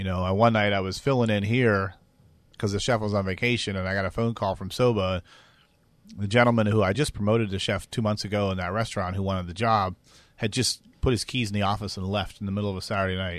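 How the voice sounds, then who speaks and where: Talking at a very fast pace over a quiet background, a man with an American accent speaks in a monotone, flat intonation. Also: fairly low pitch for a man. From western Pennsylvania. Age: 50s. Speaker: chef. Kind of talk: interview.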